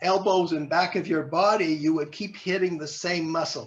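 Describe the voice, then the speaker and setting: A man speaks at a moderate pace with a high pitch. The background is quiet. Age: 70s. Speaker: fitness trainer. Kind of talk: interview. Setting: video call.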